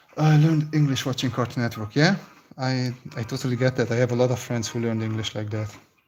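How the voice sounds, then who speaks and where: A man with a Hungarian accent talks at a very fast pace, his medium-pitched, somewhat breathy voice keeping fairly even intonation. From Romania (Hungarian-speaking). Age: 30s. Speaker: concept artist. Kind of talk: live stream chat while sketching. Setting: live stream.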